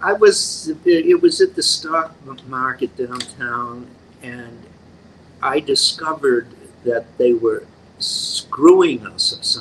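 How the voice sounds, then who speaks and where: There are big swings in loudness as a man speaks at a very slow pace, with long, frequent pauses and noticeable background noise. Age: 80s. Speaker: actor. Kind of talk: casual chat. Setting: at the guest's home.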